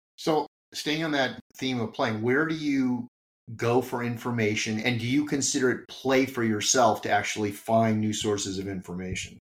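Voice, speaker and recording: A man with an ordinary speaking voice at a medium pitch, ordinary pitch variation and a moderate pace. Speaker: podcast host. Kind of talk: interview, conversational.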